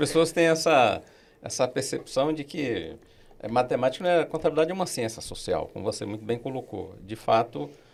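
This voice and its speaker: A man with a plain, everyday voice speaks at a medium pitch and a fairly quick pace with lively intonation, in a very clean recording with a silent background. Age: 60s. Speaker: accounting professor and auditor. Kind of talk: podcast interview.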